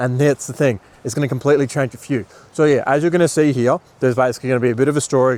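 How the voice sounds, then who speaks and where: Recorded with a dry, close sound and no echo, a man with an Australian accent talks very fast. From Australia (Bundaberg, Queensland). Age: 20s. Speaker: marketing agency owner and business coach. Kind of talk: motivational talk to camera. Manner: casual, filler-heavy.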